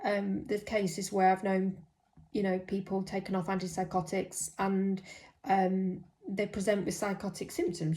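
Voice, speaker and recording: Medium-pitched woman's voice, somewhat breathy and dark, mellow in tone, at a moderate pace. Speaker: mental health nurse. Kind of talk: personal vlog monologue. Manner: hesitant, many fillers.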